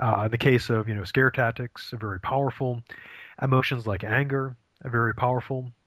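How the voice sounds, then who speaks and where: A man's medium-pitched, normal speaking voice with an American accent, fairly even intonation and a moderate pace, on a very clean recording with a silent background. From Maine, US. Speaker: philosophy professor. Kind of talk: interview.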